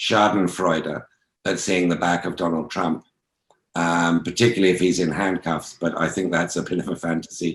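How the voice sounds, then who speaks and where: Delivered at a moderate pace, the speech has a monotone, flat intonation. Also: man. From England. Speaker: journalist and author. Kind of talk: interview. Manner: hesitant, many fillers.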